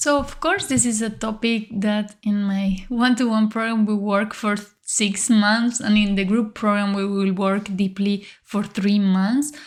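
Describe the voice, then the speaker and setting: Speaking with a Spanish accent, a woman uses a calm tone at a fairly slow pace with hardly any pauses. Her medium-pitched, somewhat breathy voice holds very even loudness and fairly even intonation. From Uruguay. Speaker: leadership coach, podcast host. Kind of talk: podcast monologue, coaching talk.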